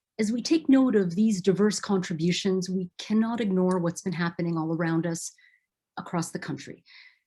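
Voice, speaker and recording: This woman's voice sits at a medium pitch and is somewhat breathy, with a dark, mellow tone. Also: ordinary pitch variation, moderate pace. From Philippines. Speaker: event host. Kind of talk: event moderation. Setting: video call. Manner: formal.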